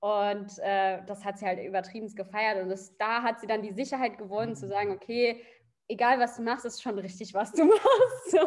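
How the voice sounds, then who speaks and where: A woman's fairly high voice, energetic in tone, with big swings in loudness, a moderate pace and ordinary pitch variation. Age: 20s. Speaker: coaching client. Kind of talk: casual interview.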